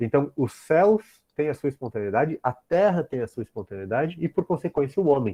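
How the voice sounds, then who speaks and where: A man's voice with very wide pitch swings. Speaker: professor. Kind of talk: lecture.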